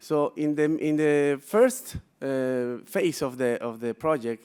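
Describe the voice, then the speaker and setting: The speaker talks at a very slow pace with a Peruvian accent. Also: man, very clean recording, silent background. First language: Spanish. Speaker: business executive. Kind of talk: conference presentation. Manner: halting, many fillers.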